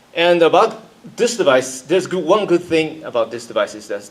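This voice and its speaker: The speaker has a Japanese accent. The pace is moderate. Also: man. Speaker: freelance engineer, conference speaker. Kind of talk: conference talk. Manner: halting.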